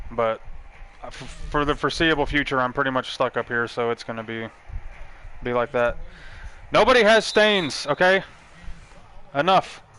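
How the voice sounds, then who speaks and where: A fairly high-pitched man with an American accent, lively intonation, a moderate pace and long, frequent pauses. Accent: Texas accent, toned down. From Texas, Dallas-Fort Worth then Texas panhandle. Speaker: video game streamer. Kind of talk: live game stream commentary. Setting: live stream. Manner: laid back.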